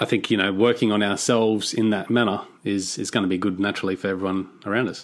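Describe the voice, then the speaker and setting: Very fast speech in an Australian accent, with monotone, flat intonation. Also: man, fairly low pitch for a man. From Australia (Cairns, Queensland). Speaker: podcast host. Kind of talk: interview.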